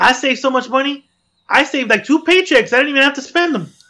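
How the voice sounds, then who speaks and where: Speaking at a very fast pace, a man uses a raised, projected voice with a bright, sharp tone. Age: 30s. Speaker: podcast host. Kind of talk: casual chat.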